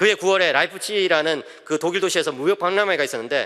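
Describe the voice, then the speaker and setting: Heard on a very clean recording with a silent background, a man speaks at a high pitch. His tone is bright and sharp, and his pace is fairly quick. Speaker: pastor. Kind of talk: sermon. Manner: fast.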